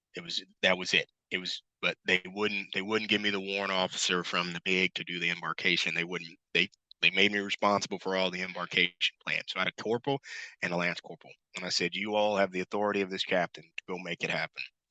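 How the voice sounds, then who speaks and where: A loud man with a very deep, low pitch and a bright, sharp tone, very fast and monotone, in a dry, close sound with no echo over a quiet background. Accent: American. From Missouri, US Midwest. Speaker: retired Marine officer, entrepreneur. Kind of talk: interview.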